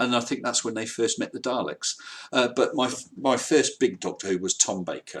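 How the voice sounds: Lively intonation marks a man's voice at a medium pitch. He talks at a moderate pace with a slightly husky edge.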